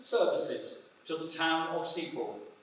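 Strong room echo fills the space as a man speaks at a very slow pace. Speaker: council official reading a resolution. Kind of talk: formal ceremonial reading. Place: church. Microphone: podium.

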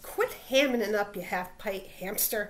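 A put-on character voice, growling at a fairly slow pace over clear background noise. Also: woman. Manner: snarling, irritated.

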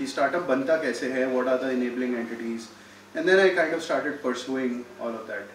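With an Indian accent and a medium pitch, a man talks at a fairly quick pace, with audible room echo and light background noise. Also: ordinary pitch variation. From India, Delhi. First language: Hindi. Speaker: startup incubator CEO; guest. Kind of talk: talk to students. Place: hall. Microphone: podium.

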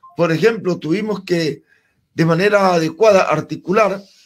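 The background is quiet as a man talks at a fairly slow pace. His pitch is high, with ordinary variation. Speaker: interview guest. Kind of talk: interview answer. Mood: calm, formal account. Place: studio. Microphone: studio mic.

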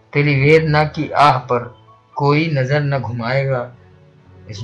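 With music in the background, a man talks in a fairly even intonation. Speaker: poet. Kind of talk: poetry reading.

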